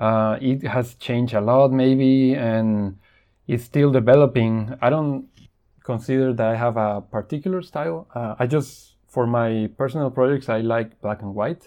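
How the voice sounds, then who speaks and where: A man at medium pitch with a Spanish accent. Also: ordinary pitch variation, fairly slow pace. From Mexico. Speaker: photojournalist. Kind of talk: interview. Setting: remote call. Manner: halting.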